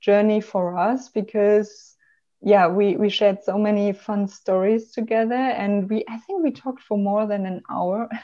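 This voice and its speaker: A woman with a German accent, a fairly high pitch, a dark, mellow tone, ordinary pitch variation and a fairly slow pace, against a quiet background. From Germany. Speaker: travel blogger and marketing professional; travel blogger. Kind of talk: interview conversation. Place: home room. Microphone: video call.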